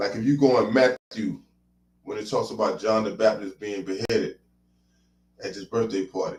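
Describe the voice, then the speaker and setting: With long, frequent pauses, a man speaks at a moderate pace and medium pitch. His pitch variation is ordinary, but his loudness swings a lot. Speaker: Hebrew Israelite teacher. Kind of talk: religious teaching.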